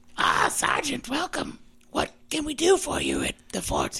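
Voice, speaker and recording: The voice is a put-on character. It is high-pitched and raspy. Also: moderate pace. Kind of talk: fantasy military officer. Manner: formal, welcoming.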